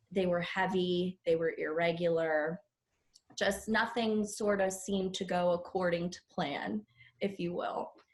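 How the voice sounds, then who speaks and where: An unremarkable speaking voice with an American accent, fairly even intonation and a fairly slow pace. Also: woman, medium pitch for a woman. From Pittsburgh, Pennsylvania. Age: 20s. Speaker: nurse. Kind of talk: podcast interview.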